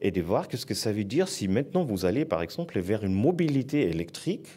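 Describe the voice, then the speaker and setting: A man with a German accent speaks at a moderate pace in a dark, mellow tone, his voice showing vocal fry and very wide pitch swings. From southern Germany. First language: German (speaking French). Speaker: foundation director. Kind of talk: panel talk.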